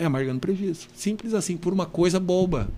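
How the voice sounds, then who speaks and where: A man speaks with a high-pitched voice. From southern Brazil (Rio Grande do Sul, Carazinho). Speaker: rural union president and farmer. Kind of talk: casual interview chat. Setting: studio, live-streamed podcast. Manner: halting, with many restarts.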